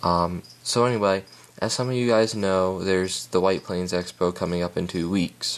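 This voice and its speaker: This man has a very deep, low voice. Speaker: reptile hobbyist vlogger. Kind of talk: casual video update. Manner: hesitant, many filler sounds.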